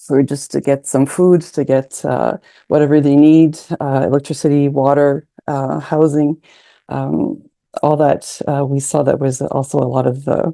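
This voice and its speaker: Fairly slow speech in a French accent. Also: quiet background. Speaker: summer school participant. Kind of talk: panel discussion. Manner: halting, many fillers.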